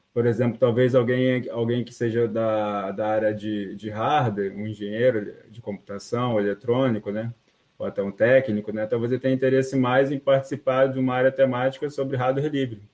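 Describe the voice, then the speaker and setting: A man with an ordinary speaking voice and medium pitch, at a moderate pace with fairly even intonation and hardly any pauses. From Rio de Janeiro, Brazil. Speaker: free software community member. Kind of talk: casual chat.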